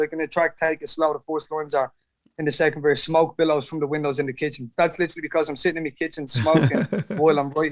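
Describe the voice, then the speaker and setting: A fairly high-pitched man's voice with an Irish accent at a very fast pace. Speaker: rapper. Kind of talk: interview answer.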